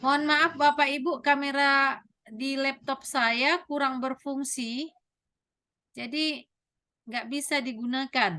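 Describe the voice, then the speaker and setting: A woman's high, bright, sharp voice, raised and projected, at a very slow pace with fairly even intonation. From North Sumatra, Batak. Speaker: teacher and trainer of teachers. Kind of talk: online training lecture. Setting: video call, virtual class.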